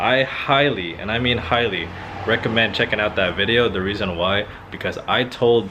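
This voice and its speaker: A man's medium-pitched voice with a Filipino accent. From Philippines. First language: Filipino language. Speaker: car YouTuber. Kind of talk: casual vlog talk.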